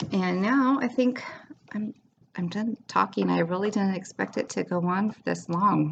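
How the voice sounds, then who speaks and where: Somewhat breathy, a woman's medium-pitched voice proceeds at a moderate pace with ordinary pitch variation. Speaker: cross-stitch vlogger. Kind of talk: casual show-and-tell vlog. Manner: hesitant, many fillers.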